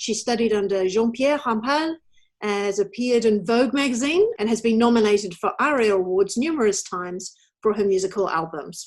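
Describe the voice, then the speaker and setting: A woman with a normal speaking voice talks at a fairly quick pace. Her pitch is fairly high, with ordinary variation. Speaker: interviewer, show host. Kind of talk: interview questions and introduction.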